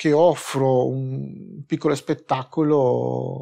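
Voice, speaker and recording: The background stays quiet while a man talks. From Peru. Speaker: drag performer. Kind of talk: interview answer. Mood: modest, calm. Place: studio.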